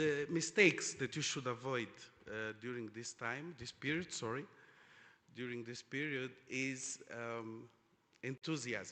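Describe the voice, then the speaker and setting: A man's medium-pitched voice with a Portuguese accent, a bright, sharp tone, ordinary pitch variation and a fairly slow pace. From Angola. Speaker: oil industry executive, panelist. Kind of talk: conference panel discussion. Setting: conference stage with audience. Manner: halting, many fillers.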